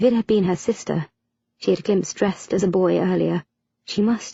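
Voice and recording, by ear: Reading aloud in a natural voice, with a quiet background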